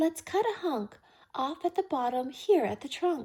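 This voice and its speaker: A put-on character voice at a moderate pace. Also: woman. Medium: read story.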